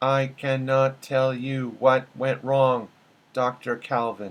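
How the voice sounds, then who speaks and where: Quietly and at a very slow pace, a man uses a put-on character voice at a medium pitch. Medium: read story. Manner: quiet, distressed.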